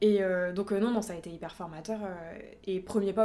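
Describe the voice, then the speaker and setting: Noticeable background noise sits under a woman speaking at a fairly quick pace. Her medium pitch stays monotone and flat. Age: 20s. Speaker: nail artist. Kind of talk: casual chat.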